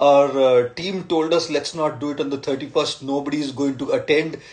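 A moderate pace carries the speech. The voice belongs to a man. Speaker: speaker. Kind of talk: live-stream address to followers. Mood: warm, grateful, festive. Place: home room. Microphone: phone near.

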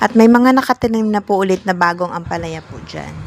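A woman at a fairly quick pace, ordinary pitch variation, a plain, everyday voice. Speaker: vlogger. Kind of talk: walking vlog narration. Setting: outdoors.

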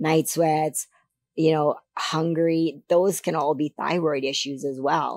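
Against a quiet background, the speaker goes at a very slow pace, with a dark, mellow tone and a dry sound that has no echo. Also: woman. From Canada. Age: 50s. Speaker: figure competitor. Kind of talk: interview. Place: studio. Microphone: studio mic.

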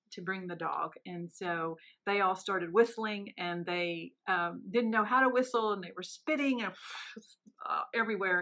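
Over a quiet background, a woman speaks at a moderate pace in a bright, sharp tone, with ordinary pitch variation and big swings in loudness. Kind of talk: interview answer. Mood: warm, amused storytelling. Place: office. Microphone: phone near.

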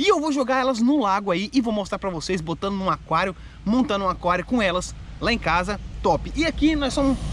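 The intonation is lively. The sound is dry with no echo, with light background noise. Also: man, fairly quick pace. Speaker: fishing vlogger. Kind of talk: casual vlog chat. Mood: joking, flustered retakes. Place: forest. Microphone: phone near.

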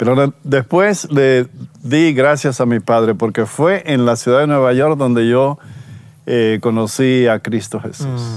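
Speaking at a fairly slow pace, a man keeps to a medium pitch. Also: ordinary pitch variation, dry sound with no echo. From Dominican Republic. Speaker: pastor. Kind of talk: testimony. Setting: outdoors. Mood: warm, reflective, smiling. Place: forest. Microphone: lapel.

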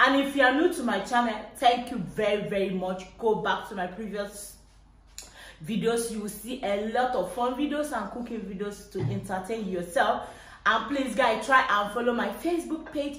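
In a room with audible echo, a woman is speaking. Her pace is moderate and her pitch variation is ordinary. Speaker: cooking vlogger. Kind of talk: casual vlog chat. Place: kitchen. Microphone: camera far.

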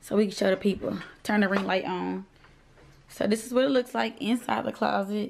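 A woman with a slight country accent talks at a fairly quick pace and a medium pitch. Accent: slight country twang. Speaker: vlogger. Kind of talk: casual chat. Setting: at home, ring light. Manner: animated.

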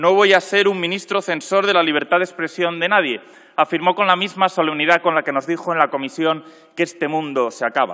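His voice sits high in pitch, and this man talks at a fairly quick pace. The pitch variation is ordinary, and the background is quiet. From Spain. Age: 30s. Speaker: politician. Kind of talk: parliamentary speech. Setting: parliament chamber. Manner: formal. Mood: combative, ironic. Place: hall. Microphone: podium.

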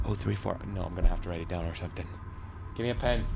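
Faint background music can be heard. Over it, a man talks. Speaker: gaming YouTuber. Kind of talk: let's play commentary. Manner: animated.

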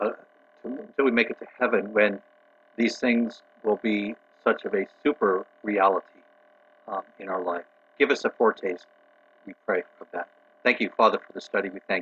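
Moderate pace, ordinary pitch variation, long and frequent pauses, and light background noise. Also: man. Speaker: pastor. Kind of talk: prayer; prayer and group discussion. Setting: video call. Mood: calm, reverent. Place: home room. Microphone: video call.

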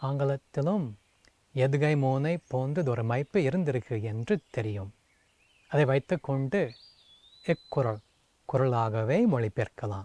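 A man speaks with an English accent at a medium pitch. His intonation is lively. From US, Seattle. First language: English (speaking Tamil). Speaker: translator and Tamil scholar. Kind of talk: prepared video greeting.

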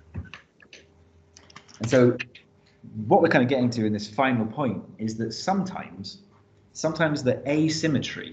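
Somewhat breathy, a man speaks at medium pitch and a fairly slow pace amid audible room echo. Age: 30s. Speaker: teacher. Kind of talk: lecture. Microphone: webcam.

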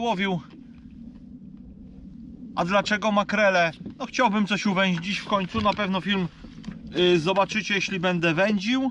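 Over light background noise, a man with a high, bright, sharp voice speaks at a moderate pace with fairly even intonation, the sound dry with no echo. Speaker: angler vlogger. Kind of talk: casual vlog chat. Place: boat. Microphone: camera far.

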